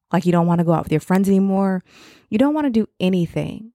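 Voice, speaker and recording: A woman's medium-pitched voice with an American accent, a dark, mellow tone and ordinary pitch variation, dry and close with no echo in a very clean recording over a silent background. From Chicago area, US Midwest. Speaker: podcast host, mother of an incarcerated son. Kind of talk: casual monologue podcast, encouraging talk. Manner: conversational, with fillers and self-corrections.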